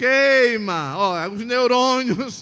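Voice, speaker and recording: A man projects a raised voice with a bright, sharp tone in a very clean recording against a silent background. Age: 60s. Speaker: pastor. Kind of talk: sermon. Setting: church. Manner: animated.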